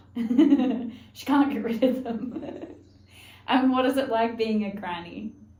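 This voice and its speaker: Very slowly and at a high pitch, a woman speaks against noticeable background noise. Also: ordinary pitch variation. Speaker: podcast host. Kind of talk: podcast interview questions.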